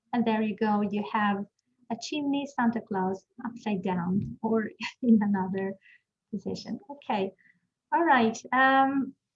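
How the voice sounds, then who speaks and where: Quiet and somewhat breathy, a woman speaks fairly slowly at a fairly high pitch with ordinary pitch variation and long, frequent pauses. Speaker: teacher trainer. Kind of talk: webinar.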